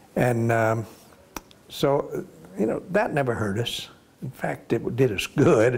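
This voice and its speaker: A man with an American accent speaks at a very slow pace, his pitch medium and his intonation lively. There is noticeable background noise behind him. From US South, Florida. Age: 80s+. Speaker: war veteran. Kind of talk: oral history interview. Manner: halting.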